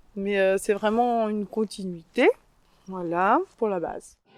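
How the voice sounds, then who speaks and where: A woman is talking. Her pace is fairly slow. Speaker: farmer. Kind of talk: interview during farm tour. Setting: outdoors. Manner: hesitant, many fillers.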